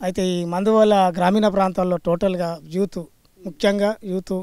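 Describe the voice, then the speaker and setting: His voice is pitched high for a man. The intonation holds fairly level throughout. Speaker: former village sarpanch. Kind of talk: interview answer.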